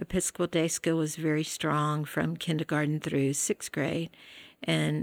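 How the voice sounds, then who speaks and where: This woman's pitch is very deep and low. She talks at a fairly slow pace. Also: dry, close sound with no echo, very clean recording, silent background. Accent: Southern US. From West Tennessee (Jackson). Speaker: retired school teacher and administrator. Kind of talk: interview conversation.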